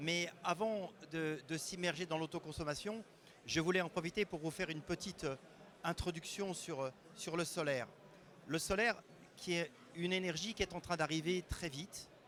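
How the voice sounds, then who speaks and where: A man talks at a moderate pace in a high pitch, with fairly even intonation. His speech has long, frequent pauses. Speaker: renewable energy expert. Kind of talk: conference talk. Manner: hesitant, with fillers.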